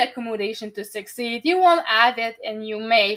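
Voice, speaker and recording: A woman with a Quebec accent speaks at a moderate pace in a fairly high pitch, her intonation lively. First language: French. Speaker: podcast host and neurodiversity advocate. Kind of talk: interview.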